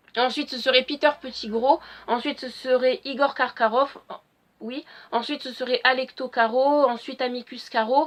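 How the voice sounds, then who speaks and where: Against a quiet background, a woman with a high pitch and fairly even intonation talks at a moderate pace, her loudness swinging widely. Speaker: fan video blogger. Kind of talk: casual solo vlog talk. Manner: hesitant with frequent fillers.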